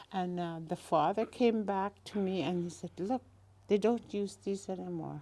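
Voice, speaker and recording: At a moderate pace, a woman talks in a dark, mellow tone of medium pitch with fairly even intonation. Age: old. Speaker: elder and craftswoman. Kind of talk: casual interview.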